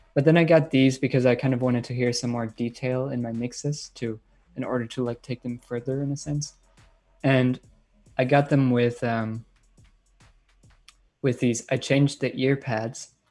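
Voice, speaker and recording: Over music in the background, the speaker talks in a monotone, flat way with long, frequent pauses and a slight German accent. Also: man, medium pitch for a man, moderate pace. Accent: light German accent in English. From Germany, Bayreuth in Bavaria. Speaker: electronic music producer and DJ. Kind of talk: live-stream Q&A. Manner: casual, many filler words.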